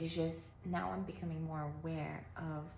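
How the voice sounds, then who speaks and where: A woman speaks in a calm tone at a fairly slow pace. The room has audible echo. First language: not English. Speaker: lifestyle vlogger. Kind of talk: casual monologue. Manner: halting.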